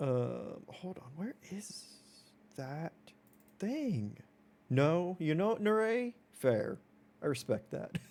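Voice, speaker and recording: A man speaks in a fairly high pitch at a very slow pace, with long, frequent pauses. Very wide pitch swings and big swings in loudness mark his delivery. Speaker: video game streamer. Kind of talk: casual chat. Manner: animated.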